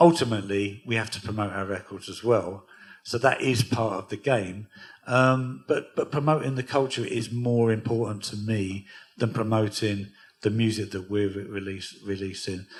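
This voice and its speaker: At a moderate pace, a man speaks in a somewhat breathy voice of fairly low pitch with ordinary pitch variation, on a very clean recording with a silent background. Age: 60s. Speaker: record label founder and DJ. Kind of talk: onstage interview at a music workshop.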